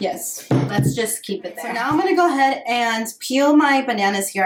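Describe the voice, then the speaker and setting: Her pitch is fairly high for a woman, and the woman's voice swings very widely from high to low. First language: bilingual Spanish and English. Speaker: lifestyle vlogger. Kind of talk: casual baking tutorial vlog. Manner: casual, hesitant with fillers.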